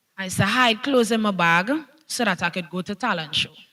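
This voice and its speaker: A woman with a Trinidadian accent talks at a moderate pace and medium pitch with lively intonation, on a very clean recording with a silent background. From Trinidad, Central. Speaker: dancehall/soca artist. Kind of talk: panel discussion.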